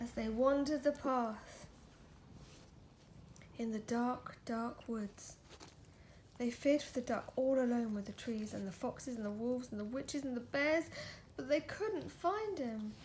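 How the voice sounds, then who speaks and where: Soft-spoken and high-pitched, a woman talks at a fairly slow pace with long, frequent pauses. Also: ordinary pitch variation. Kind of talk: children's picture book reading. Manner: soft, gentle, relaxing.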